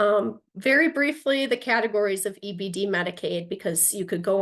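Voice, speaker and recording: Vocal fry with lively intonation, at a moderate pace. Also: woman. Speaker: attorney, presenter. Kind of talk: lecture.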